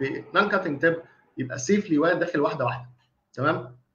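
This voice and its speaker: Speaking with an Egyptian accent at a fairly quick pace, a man has a fairly high pitch. His pitch variation is ordinary, and light background noise can be heard. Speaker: dentist lecturer. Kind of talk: online lecture. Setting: live online stream. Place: home room. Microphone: webcam.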